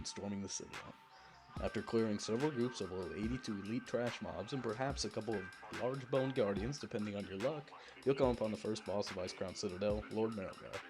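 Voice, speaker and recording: Music plays behind this man's voice. He talks at a very fast pace. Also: medium pitch for a man, ordinary pitch variation. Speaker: gaming guide narrator. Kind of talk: game tutorial voice-over. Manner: a little mumbly.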